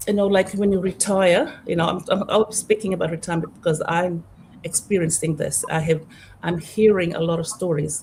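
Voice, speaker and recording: The voice belongs to a woman and sits at a mid-range pitch. A slight breathiness runs through it. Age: 60s. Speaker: digital business owner. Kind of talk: casual chat. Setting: live video stream. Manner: halting.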